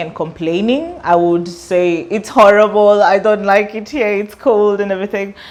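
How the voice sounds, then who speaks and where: Noticeable background noise sits behind a woman who speaks at a moderate pace and a medium pitch. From Kenya. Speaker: student and artist. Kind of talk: interview.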